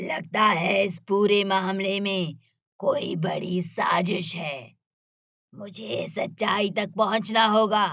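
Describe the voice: Raspy and very slow, this cartoonish character voice shows ordinary pitch variation. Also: woman, medium pitch for a woman.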